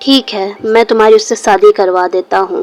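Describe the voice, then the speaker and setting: In a put-on character voice, a woman speaks at a moderate pace, fairly high-pitched, raspy and strained, with a dry, close sound and no echo. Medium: read story. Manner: sorrowful, restrained.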